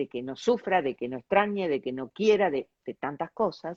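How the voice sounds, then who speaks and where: A woman speaks in a normal speaking voice. Her pitch is fairly low, and her intonation is lively. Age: 60s. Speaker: interview show host. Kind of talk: interview.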